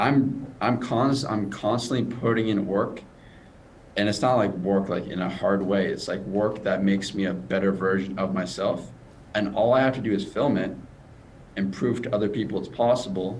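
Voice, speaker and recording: In a room with audible echo, a man with a fairly low voice speaks at a moderate pace with ordinary pitch variation. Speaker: stutter coach. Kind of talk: interview.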